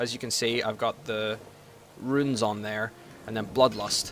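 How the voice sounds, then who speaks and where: Noticeable background noise behind a man's fairly even intonation. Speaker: gaming video guide host. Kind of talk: gameplay tutorial. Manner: fast; casual with many fillers.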